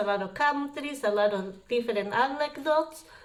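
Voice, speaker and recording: A woman speaks with a strong Spanish accent at a fairly slow pace. Her pitch is fairly high and her intonation lively. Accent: thick Spanish. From Uruguay. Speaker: travel vlogger. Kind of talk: personal storytelling. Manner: casual.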